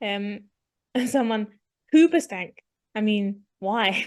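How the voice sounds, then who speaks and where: With an English accent, the speaker goes at a very slow pace with long, frequent pauses. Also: woman. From England. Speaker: podcast co-host. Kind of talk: casual chat.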